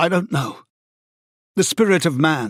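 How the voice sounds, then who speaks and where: This man uses a put-on character voice, raspy and fairly high in pitch. He keeps a moderate pace and lively intonation. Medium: read story.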